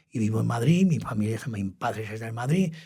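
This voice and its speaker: A man's fairly quick, somewhat breathy speech at medium pitch, with ordinary pitch variation and a dark, mellow tone. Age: 80s+. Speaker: retired radio journalist. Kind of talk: interview. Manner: halting.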